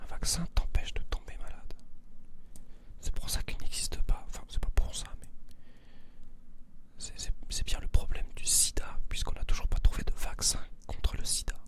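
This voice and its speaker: A man is whispering at a moderate pace. He leaves long, frequent pauses. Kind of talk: ASMR soft-spoken talk to camera for insomniacs. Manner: soft-spoken, whispering.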